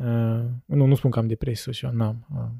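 A man talks at medium pitch with fairly even intonation and a somewhat breathy, dark, mellow tone. The recording is very clean and dry, close with no echo, with a silent background. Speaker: podcast host. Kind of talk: casual chat.

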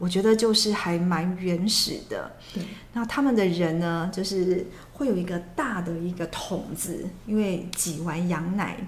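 There is audible room echo as a woman at medium pitch speaks at a fairly slow pace with ordinary pitch variation. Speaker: former flight attendant. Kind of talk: casual chat.

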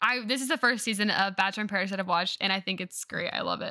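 A woman with a Southern US accent speaks at a fairly high pitch, her bright, sharp tone carrying ordinary pitch variation over a very clean recording with a silent background. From North Carolina. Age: 20s. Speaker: podcast host and teacher. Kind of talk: casual chat.

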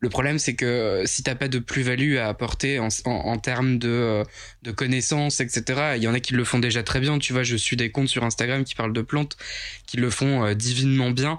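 In an ordinary speaking voice, a man talks at a moderate pace and a medium pitch with very even loudness. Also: fairly even intonation. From Picardy, northern France. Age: 20s. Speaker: plant influencer. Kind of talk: casual chat.

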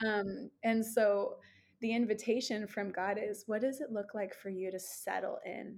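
This woman has an unremarkable speaking voice, pitched fairly high, with fairly even intonation. She talks at a fairly slow pace on a very clean recording with a silent background. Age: 30s. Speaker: ministry leader and founder. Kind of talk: casual chat.

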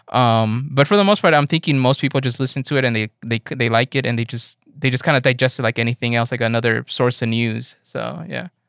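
A man with an ordinary speaking voice talks fairly quickly at medium pitch, barely pausing, with ordinary pitch variation. The sound is dry and close, without echo. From Los Angeles. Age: 30s. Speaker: music producer and audio engineer. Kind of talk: casual chat. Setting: remote call.

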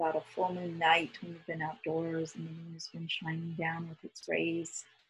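A woman's fairly low, somewhat breathy voice with big swings in loudness, monotone and flat, with hardly any pauses. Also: moderate pace. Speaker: guided meditation leader. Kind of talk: guided meditation.

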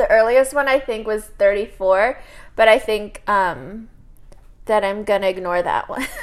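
At a fairly slow pace, a woman talks with a fairly high pitch and ordinary pitch variation. She has a plain, everyday voice. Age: 30s. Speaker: podcast co-host. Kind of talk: casual chat.

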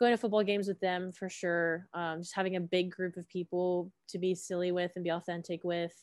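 An ordinary speaking voice with an American accent moves at a moderate pace, recorded with a dry, close sound, no echo, and a quiet background. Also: woman. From Georgia, US South (Gwinnett County). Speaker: music education graduate. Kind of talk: casual chat.

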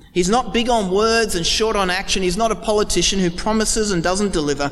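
He speaks at moderate speed. For a man, his voice sits high. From Pakistan. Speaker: preacher. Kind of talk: sermon.

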